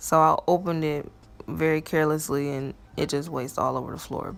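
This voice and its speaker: A woman with a normal speaking voice talks at a fairly low pitch and fairly even intonation. The recording is very clean and the background silent. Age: 20s. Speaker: natural hair vlogger. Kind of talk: casual talk to camera.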